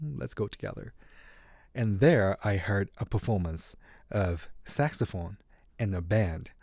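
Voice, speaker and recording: A man with a Japanese accent speaks at a fairly low pitch in a dark, mellow tone with lively intonation, on a very clean recording with a silent background. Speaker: saxophonist. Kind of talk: interview.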